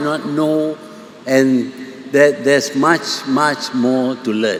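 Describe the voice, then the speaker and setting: There is noticeable background noise as a man speaks at a very slow pace. He has a Malaysian accent. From Malaysia, Kedah. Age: 80s+. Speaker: prime minister. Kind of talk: public speech.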